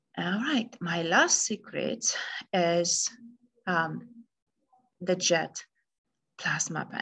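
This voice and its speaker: A woman speaks at a very slow pace, with long, frequent pauses. Her fairly low voice is bright and sharp, with vocal fry and ordinary pitch variation. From Romania. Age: 40s. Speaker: integrative medicine doctor. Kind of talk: recorded presentation. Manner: hesitant with fillers.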